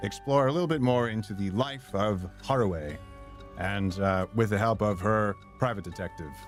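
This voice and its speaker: A man's speech, moderate in pace and ordinary in pitch variation, is heard with music in the background. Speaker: voice actor. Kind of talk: casual let's-play stream talk.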